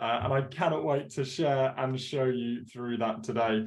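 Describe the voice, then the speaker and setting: A man with a British accent at a moderate pace. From UK. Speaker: product webinar host. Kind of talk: product webinar presentation. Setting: live webinar. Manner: animated.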